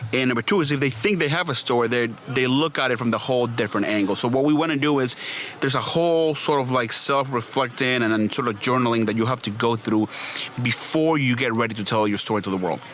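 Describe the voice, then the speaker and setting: A man with a medium pitch speaks at a very fast pace with ordinary pitch variation and very even loudness over noticeable background noise. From Venezuela. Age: 30s. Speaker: PR and branding agency owner. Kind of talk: podcast interview. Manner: hesitant, many fillers and repeats.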